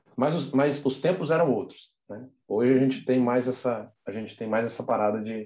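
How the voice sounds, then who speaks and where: In an ordinary speaking voice, a man talks at a moderate pace and medium pitch with ordinary pitch variation and hardly any pauses. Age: 20s. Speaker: architect and graphic designer. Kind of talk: casual chat.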